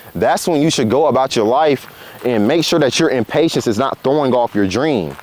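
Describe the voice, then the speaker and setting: Over noticeable background noise, a man talks at a fairly quick pace with lively intonation and a medium pitch. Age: 20s. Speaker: motivational vlogger. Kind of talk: casual motivational talk to camera. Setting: outdoors on a walk. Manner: casual, conversational.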